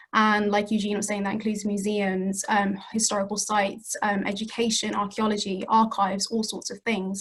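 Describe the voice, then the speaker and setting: A woman with a British accent speaks at a medium pitch in a flat, monotone delivery, with hardly any pauses. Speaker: community heritage project worker. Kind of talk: panel talk. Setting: video call. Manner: fast.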